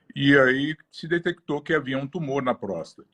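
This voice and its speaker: This man has a normal speaking voice at medium pitch and talks at a moderate pace. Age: 60s. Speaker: cancer patient. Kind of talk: testimony.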